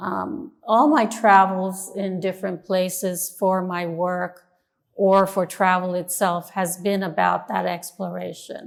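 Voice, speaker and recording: A woman with an ordinary speaking voice talks at a fairly slow pace and a medium pitch. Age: 60s. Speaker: artist. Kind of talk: interview.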